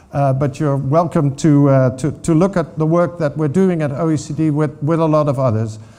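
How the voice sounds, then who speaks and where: Spoken with a Dutch accent at a moderate pace, the dark, mellow voice shows ordinary pitch variation against audible room echo. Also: man. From Netherlands. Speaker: water governance expert. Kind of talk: conference talk. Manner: halting.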